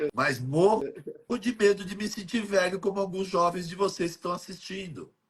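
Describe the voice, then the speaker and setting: Pitched high, a man talks at a moderate pace with ordinary pitch variation. His loudness swings widely. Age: 60s. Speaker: health educator. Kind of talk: casual chat.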